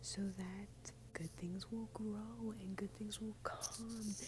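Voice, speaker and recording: A woman is whispering, quiet and hushed. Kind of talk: casual talk to camera. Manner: quiet, partly whispered.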